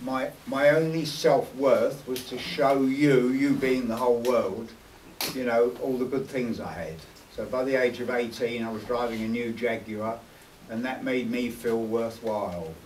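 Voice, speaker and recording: With a London accent, a man of medium pitch speaks fairly slowly and with fairly even intonation, and audible room echo surrounds his voice. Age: 60s. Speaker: former gangster and convert speaking at an event. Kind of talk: personal testimony to an audience. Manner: hesitant, repeating words.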